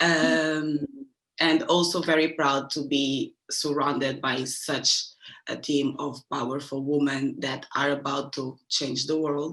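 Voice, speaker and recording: Monotone, flat intonation marks this speech, delivered at a very slow pace. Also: woman, very deep, low pitch for a woman. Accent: Portuguese. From Angola. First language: Portuguese. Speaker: fashion media practitioner. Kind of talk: panel discussion.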